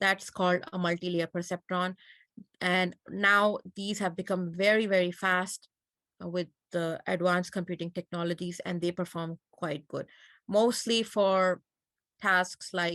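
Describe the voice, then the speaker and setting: Over a quiet background, a woman with a non-native accent speaks fairly slowly at a medium pitch in a flat monotone. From Pakistan. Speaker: computer science lecturer. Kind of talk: lecture.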